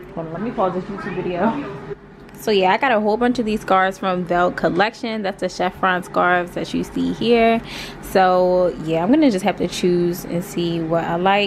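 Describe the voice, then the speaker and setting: Over noticeable background noise, a woman with an American accent speaks at a medium pitch and moderate pace with ordinary pitch variation. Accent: American English, casual with y'all. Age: 20s. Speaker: lifestyle vlogger. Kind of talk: casual vlog talk to camera. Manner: casual, chatty.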